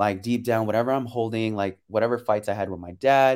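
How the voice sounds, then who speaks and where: A man with a Californian accent speaks at a medium pitch with fairly even intonation. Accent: Californian American English. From San Francisco Bay Area, California. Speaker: choreographer and dancer. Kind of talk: interview. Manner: casual, laughs often.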